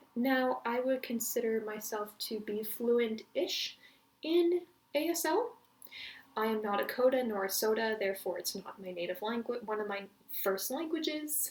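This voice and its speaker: Over noticeable background noise, a woman talks at a moderate pace with lively intonation and a fairly high pitch. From Canada. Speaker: language learning vlogger. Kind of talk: casual vlog introduction. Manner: halting, many pauses.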